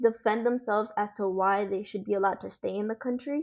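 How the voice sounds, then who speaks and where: A woman with a Spanish accent, her fairly high pitch held in fairly even intonation at a moderate pace. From United States, Dominican family. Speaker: guest, daughter of immigrants. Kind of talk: interview.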